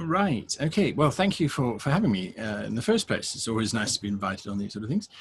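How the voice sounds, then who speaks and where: A man talking at a very fast pace, somewhat breathy, with very wide pitch swings and hardly any pauses. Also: medium pitch for a man. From South Africa, KwaZulu-Natal. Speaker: game master, youtuber. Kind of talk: interview.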